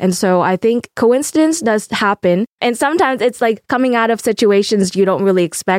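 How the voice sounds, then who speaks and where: A woman with a Vietnamese accent talks very fast with lively intonation, the sound dry and close with no echo. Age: 20s. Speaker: podcast co-host, university student. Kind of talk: casual chat. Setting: studio.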